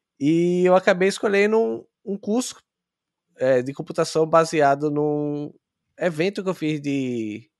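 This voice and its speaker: With a quiet background, a man speaks at a very slow pace. His pitch is fairly high and his intonation lively. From Brazil, Sergipe (Aracaju). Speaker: software engineer. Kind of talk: interview.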